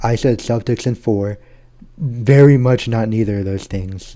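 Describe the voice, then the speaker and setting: This man has a medium pitch, a dark, mellow tone and fairly even intonation, and the recording is quiet. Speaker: gaming YouTuber. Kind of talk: casual chat. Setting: at home.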